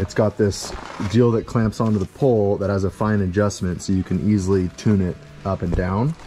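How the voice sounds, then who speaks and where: This man speaks in a normal speaking voice, fairly low-pitched and fairly quick. His intonation stays fairly even, with light background noise behind him. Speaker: builder vlogger. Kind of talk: tutorial. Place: open country. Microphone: phone near.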